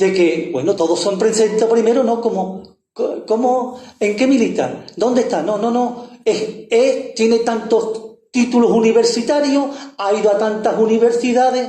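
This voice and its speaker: Audible room echo surrounds a man who speaks at a fairly slow pace in an extremely high pitch. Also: ordinary pitch variation. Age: 70s. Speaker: activist. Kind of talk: public speech. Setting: panel event with audience. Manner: halting.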